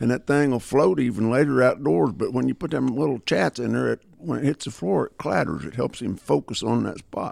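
Recorded dry and close with no echo, a man with vocal fry talks at a fairly quick pace with lively intonation. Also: medium pitch for a man. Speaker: dog trainer. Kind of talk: casual chat.

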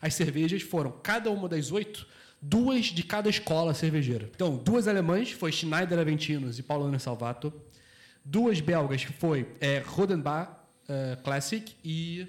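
Using an ordinary speaking voice, a man talks at a fairly slow pace in a fairly high pitch with lively intonation. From Brazil, Rio de Janeiro. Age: 30s. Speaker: beer sommelier. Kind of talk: casual chat. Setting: bar.

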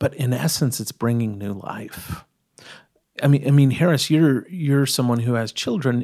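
Recorded very cleanly against a silent background, a man with an American accent speaks at a moderate pace in a dark, mellow, medium-pitched tone with ordinary pitch variation. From East Texas. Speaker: storyteller and collector. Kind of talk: casual interview conversation. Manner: hesitant with fillers and repetitions.

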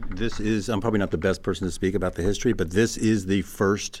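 The man speaks with fairly even intonation. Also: very clean recording, silent background. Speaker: company president. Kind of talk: interview. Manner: hesitant, many fillers.

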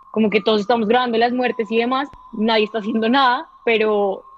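A woman with a fairly high pitch speaks at a moderate pace with fairly even intonation, over noticeable background noise. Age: 20s. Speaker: journalism graduate student. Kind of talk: interview.

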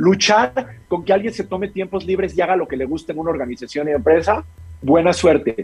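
A fairly quick-paced man's voice with ordinary pitch variation. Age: 40s. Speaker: mental health coach for business leaders. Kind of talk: interview.

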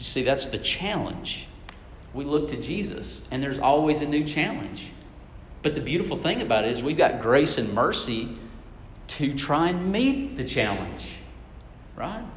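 A man with a fairly high pitch speaks at a moderate pace with lively intonation, long and frequent pauses, and audible room echo. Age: 30s. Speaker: preacher. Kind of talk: sermon.

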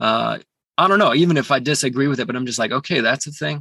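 A man's fairly high voice with vocal fry, a bright, sharp tone, ordinary pitch variation, and a dry, close sound without echo. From Calgary, western Canada. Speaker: musician. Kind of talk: casual chat. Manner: halting.

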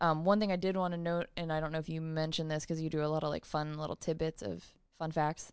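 A woman with an American accent and a very deep, low pitch talks at a very fast pace in a monotone, flat intonation against a quiet background. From US suburb. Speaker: podcast co-host. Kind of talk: reading aloud; casual chat.

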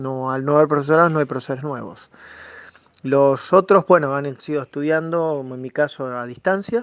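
A man's fairly high voice with a Rosario accent, at a moderate pace, with big swings in loudness and ordinary pitch variation. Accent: Argentine Spanish (Rosario, rioplatense). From Argentina, Santa Fe province near Rosario. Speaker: computer science teacher. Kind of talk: radio interview. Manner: hesitant, many fillers.

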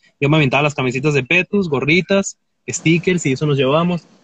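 An ordinary speaking voice from a man, fairly high in pitch with ordinary pitch variation, moves at a fairly quick pace in a dry, close sound with no echo. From Mexico, Tecate, Baja California. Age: 20s. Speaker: clothing store owner and folk musician. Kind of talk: casual chat. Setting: in a car, remote call.

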